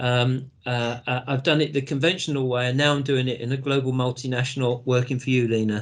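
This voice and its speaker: A flat, monotone delivery in a British accent at a fairly quick pace with hardly any pauses. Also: man, medium pitch for a man. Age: 60s. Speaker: business executive, entrepreneur. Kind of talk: interview.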